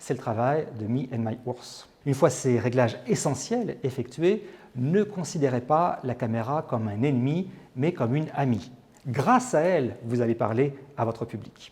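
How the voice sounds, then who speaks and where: A man talks at a fairly slow speed, his voice somewhat breathy and his pitch varying in an ordinary way. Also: medium pitch for a man. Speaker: TV presenter. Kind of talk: presentation coaching tips to camera.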